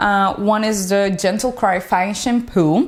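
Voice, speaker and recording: In a Dominican accent, a woman speaks at a fairly slow pace with a medium pitch. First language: Spanish. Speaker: beauty vlogger. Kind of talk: product review vlog.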